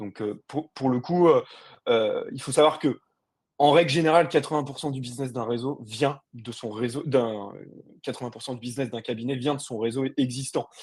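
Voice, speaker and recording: Energetic and animated, a man talks at a moderate pace with a medium pitch. His loudness rises and falls in big swings. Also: ordinary pitch variation. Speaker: sales and marketing director. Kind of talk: webinar presentation. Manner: energetic, animated.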